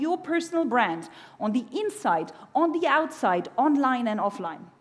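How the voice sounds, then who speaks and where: A woman with a German accent talks at a moderate pace in a high pitch. Her pitch swings very widely. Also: very even loudness. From Germany. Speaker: keynote speaker on personal branding. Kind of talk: conference keynote talk. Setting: stage with audience. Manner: animated.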